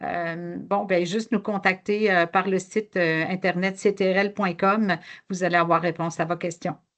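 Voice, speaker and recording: A woman with a Quebec accent talks at medium pitch and a fairly slow pace in a monotone, flat intonation over a quiet background. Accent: Québécois French. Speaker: software company representative. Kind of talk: webinar presentation. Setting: online webinar. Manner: slower paced; hesitant, many fillers.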